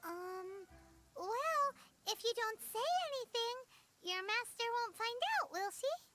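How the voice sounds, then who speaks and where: A put-on character voice, squeaky and extremely high, breaks up its lines with long, frequent pauses. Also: fairly slow pace. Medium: video game.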